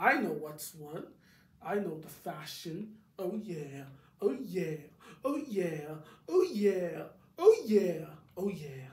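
A cartoonish character voice at middle pitch speaks at a very slow pace with long, frequent pauses. An echo is audible. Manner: exaggerated, dramatic, scornful.

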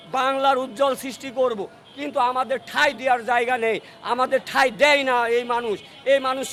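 Against noticeable background noise, a man with an extremely high pitch speaks in a monotone, flat intonation. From Bangladesh, Kushtia. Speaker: local resident interviewed by news channel. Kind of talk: impromptu patriotic speech. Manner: oratorical.

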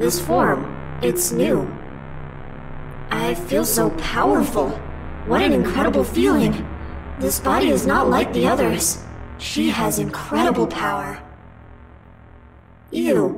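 In a put-on character voice with a very deep, low pitch, the speaker goes at a fairly slow pace with long, frequent pauses while faint music plays in the background. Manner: slow, menacing, exultant.

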